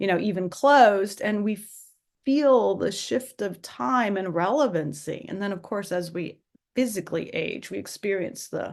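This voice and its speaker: A woman with a plain, everyday voice speaks at a moderate pace, her medium pitch showing ordinary variation against a quiet background. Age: 60s. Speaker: museum director, podcast host. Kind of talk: interview. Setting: video call.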